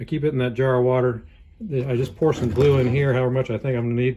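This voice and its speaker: Somewhat breathy, with a dark, mellow tone and a Southern US accent, a man speaks at a very fast pace. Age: 60s. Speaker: hobby woodturner. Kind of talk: casual tutorial rant. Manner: casual, rambling with self-corrections.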